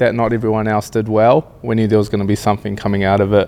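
A man talks very fast with an Australian accent. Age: 30s. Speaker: reality TV contestant, builder. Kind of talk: casual interview chat.

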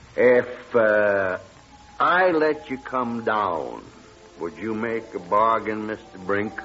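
Over faint music in the background, a man puts on a character voice, speaking slowly with lively intonation, a fairly bright tone and a fairly low pitch.

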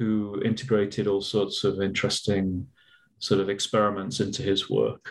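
Man with a British accent, fairly low in pitch. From England. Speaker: archive curator and historian. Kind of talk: interview.

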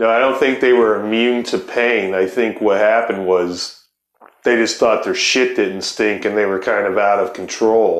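The speaker has an American accent and talks at a moderate pace. Loudness stays very even and intonation fairly even. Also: man, medium pitch for a man. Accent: loose pronunciation. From Ohio. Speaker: podcast host. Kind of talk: casual chat.

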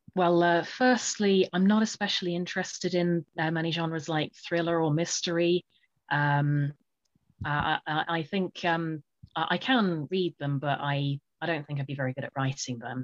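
In a British accent, a woman speaks at a moderate pace with a fairly low pitch and ordinary pitch variation. The sound is dry and close with no echo, over a quiet background. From UK. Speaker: author and poet. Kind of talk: interview. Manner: halting, many fillers.

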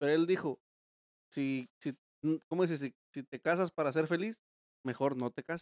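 Long, frequent pauses break up speech with ordinary pitch variation, heard in a dry, close sound with no echo. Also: man, fairly high pitch for a man. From Mexico, Guerrero. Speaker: podcast host. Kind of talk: casual chat. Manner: fast.

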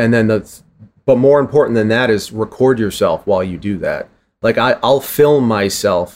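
In an American accent, a man uses a normal speaking voice at medium pitch and a moderate pace, with ordinary pitch variation. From Boston, Massachusetts. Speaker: drummer, author and drum educator. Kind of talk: interview conversation. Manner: casual.

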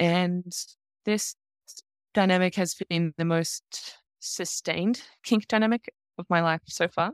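A woman with an Australian accent speaks at a fairly low pitch with fairly even intonation. She leaves long, frequent pauses, and the sound is dry and close with no echo. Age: 40s. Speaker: leather community dominant. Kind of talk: interview.

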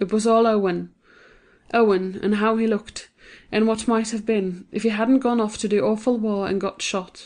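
Against a quiet background, a woman speaks at a moderate pace in a monotone, flat delivery. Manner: shifts into different character voices for dialogue.

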